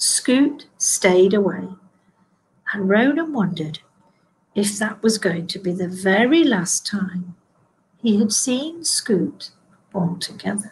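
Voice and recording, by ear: A woman talks at a slow pace with a husky, rough edge. Her voice sits at medium pitch and makes big pitch swings.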